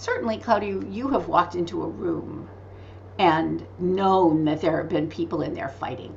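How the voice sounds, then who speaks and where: A woman talks at a moderate pace, with audible room echo and noticeable background noise around her voice. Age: 60s. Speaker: author and medical intuitive. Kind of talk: interview. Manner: animated.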